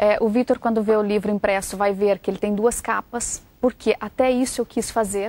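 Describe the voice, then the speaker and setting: A woman with a Brazilian accent and fairly even intonation. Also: dry, close sound with no echo. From Brazil, Goiás state (Centre-West). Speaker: journalist and author. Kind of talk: interview.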